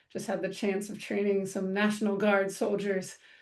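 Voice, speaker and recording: A woman with an American accent speaks at a medium pitch with vocal fry. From US, military bases (Air Force family). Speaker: counselor and trainer. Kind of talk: online training presentation. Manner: fast; hesitant fillers (um, uh).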